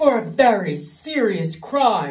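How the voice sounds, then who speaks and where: Growling in a put-on character voice, a woman at medium pitch makes very wide pitch swings. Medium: read story. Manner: gloomy, solemn.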